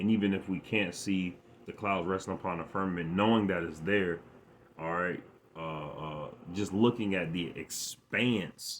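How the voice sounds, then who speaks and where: A man's very deep, low voice with ordinary pitch variation. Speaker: religious teacher. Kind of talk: bible lesson. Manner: halting, repeats words.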